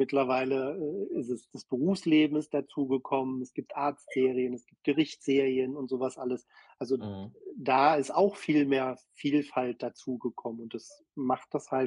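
A man with an ordinary speaking voice talks at medium pitch with fairly even intonation and big swings in loudness, in a dry, close sound with no echo. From Berlin. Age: 50s. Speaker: social media creator. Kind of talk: casual chat.

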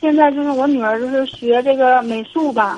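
This woman's voice is high-pitched. She talks fairly slowly. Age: 40s. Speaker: caller, divorced mother. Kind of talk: phone-in advice call. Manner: halting, hesitant.

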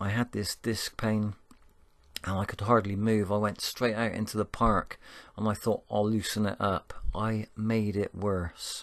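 A man with a Bristol accent speaks at a fairly slow pace and fairly low pitch. His intonation is monotone and flat over a quiet background. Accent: Bristolian English. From Bristol, England. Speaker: spiritual podcaster. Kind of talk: motivational monologue. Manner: warm, uplifting.

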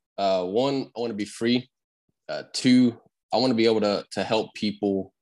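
A man of medium pitch speaks in a Louisiana accent. His pace is fairly slow and his intonation fairly even. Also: long, frequent pauses. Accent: Southern US, Louisiana. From Louisiana, around Lafayette. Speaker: painting contractor. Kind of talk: casual interview.

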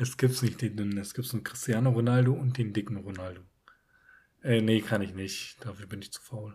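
A man speaks fairly quickly at a medium pitch with fairly even intonation. His tone is dark and mellow, and somewhat breathy. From northern Germany, Emsland. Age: 20s. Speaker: podcast co-host. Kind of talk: casual chat.

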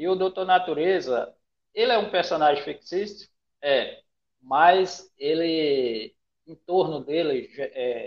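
A man speaking at a very slow pace. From Brazil, Pará (Rondon do Pará). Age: 40s. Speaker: comic artist and character creator. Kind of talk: casual interview.

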